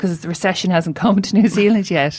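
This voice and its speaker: A woman with a Limerick accent, talking at a fairly quick pace with ordinary pitch variation. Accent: Limerick Irish. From Ireland, suburban Limerick. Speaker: novelist and poet, creative writing lecturer. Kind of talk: casual interview.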